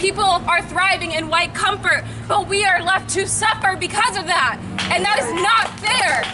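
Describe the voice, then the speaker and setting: A raised, projected voice with an American accent at a moderate pace, with crowd noise in the background. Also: woman. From Peekskill, New York. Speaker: rally speaker. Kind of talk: protest speech. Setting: outdoor rally.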